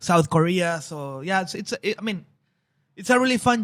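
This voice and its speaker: Here a man speaks at a fairly quick pace in a high pitch with lively intonation. The recording is very clean and the background silent. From Mexico, Tijuana. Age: 40s. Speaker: brewery export manager. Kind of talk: casual chat. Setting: brewpub.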